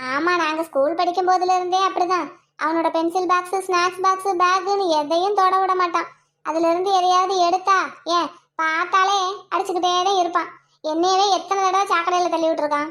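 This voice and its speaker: A cartoonish character voice sits at an extremely high pitch. It moves at a moderate pace with monotone, flat intonation. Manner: needling, sarcastic.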